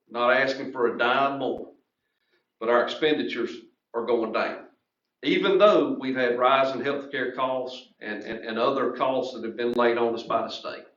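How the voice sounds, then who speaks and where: Audible room echo surrounds a man's medium-pitched voice. He keeps a moderate pace and fairly even intonation. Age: 40s. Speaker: school official. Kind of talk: public meeting discussion.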